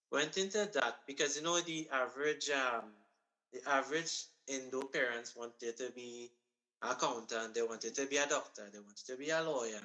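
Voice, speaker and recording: Speaking at a moderate pace with a strong Trinidadian accent, a man uses a fairly high pitch, ordinary pitch variation, and a bright, sharp tone. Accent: thick Trinidadian. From Trinidad and Tobago, Marabella. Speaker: accountant and music event organizer. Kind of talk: radio interview.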